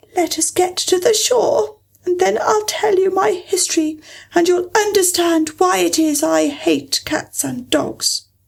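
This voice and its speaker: A woman's put-on character voice, extremely high and shaky, at a fairly slow pace. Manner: low, trembling, passionate.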